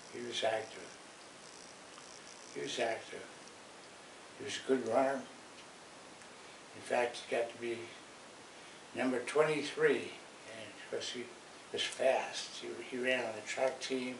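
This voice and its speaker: A man with an American accent speaks at a fairly slow pace, with long, frequent pauses and big swings in loudness. Noticeable background noise and audible room echo run through the recording. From Washington, D.C. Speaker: grandfather. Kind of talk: casual chat. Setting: at home, filmed before church. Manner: halting.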